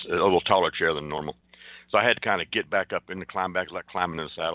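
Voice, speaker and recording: A man's very deep, low voice at a very fast pace. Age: 60s. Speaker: retired Navy veteran. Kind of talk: casual chat. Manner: halting, many fillers and repeats.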